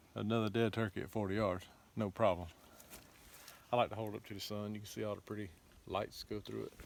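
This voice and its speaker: Over noticeable background noise, a man speaks at a fairly quick pace with fairly low pitch, monotone and flat intonation, and long, frequent pauses. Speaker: hunting channel host. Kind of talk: outdoor gear test commentary. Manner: loud.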